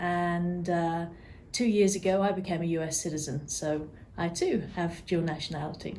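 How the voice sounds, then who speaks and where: In an English accent, a woman speaks at a moderate pace and fairly low pitch with a dark, mellow tone. Her intonation is fairly even, and there is audible room echo. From England, near London. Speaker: real estate client care coordinator. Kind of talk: interview.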